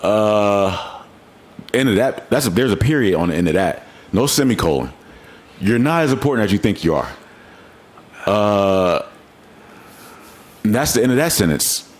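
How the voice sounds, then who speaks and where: Over noticeable background noise, a man with a fairly low pitch speaks at a moderate pace in an animated tone with lively intonation and very even loudness, leaving long, frequent pauses. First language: not English. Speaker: podcast host. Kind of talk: casual chat.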